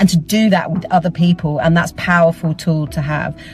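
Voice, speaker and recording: Over music in the background, a woman with an Essex accent speaks in a fairly low pitch with fairly even intonation. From Essex, England. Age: 40s. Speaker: theatre artist and teacher. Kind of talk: personal testimony. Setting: travelling, on the way to teach.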